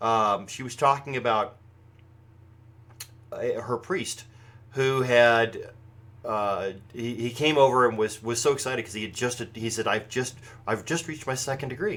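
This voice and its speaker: A man with an American accent speaks at a moderate pace, leaving long, frequent pauses. His pitch sits in the middle range and shows ordinary variation. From United States. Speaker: pagan broadcast host. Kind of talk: live show commentary. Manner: projected voice; halting, many fillers and restarts.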